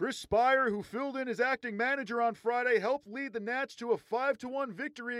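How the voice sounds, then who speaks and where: A man talks at a moderate pace in an extremely high pitch with an animated tone. The sound is dry and close, with no echo. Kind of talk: live sports commentary and game recap. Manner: animated, punchy play-by-play delivery.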